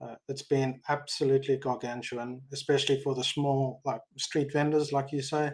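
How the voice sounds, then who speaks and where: A man with a South African accent speaks at a moderate pace, his fairly high voice held in a monotone with flat intonation. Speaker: tech industry expat, audience member. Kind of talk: live audio Q&A.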